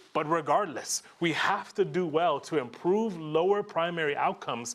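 Lively intonation marks a man's fairly high voice. His tone is animated. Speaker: education program funder; conference presenter. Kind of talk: conference talk. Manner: fast. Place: hall.

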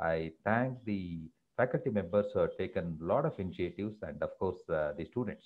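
A man's fairly low voice in an Indian accent, fairly quick, with very wide pitch swings. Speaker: professor and former scientist, guest speaker. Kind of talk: webinar lecture. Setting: video call webinar. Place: home room. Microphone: earbuds.

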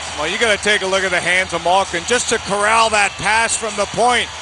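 Male speech with noticeable background noise. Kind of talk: live commentary, game analysis. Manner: animated, fast, excitable analyst banter.

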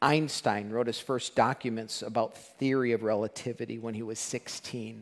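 This man talks at a moderate pace in a monotone, flat intonation. The background is quiet. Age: 50s. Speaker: pastor. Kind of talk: sermon. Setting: church. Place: church. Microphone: headset.

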